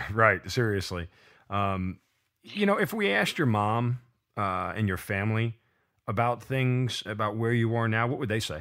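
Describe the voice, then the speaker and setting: A man with a plain, everyday voice, medium in pitch and moderate in pace, on a very clean recording with a silent background. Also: ordinary pitch variation. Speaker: podcast host. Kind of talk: podcast interview.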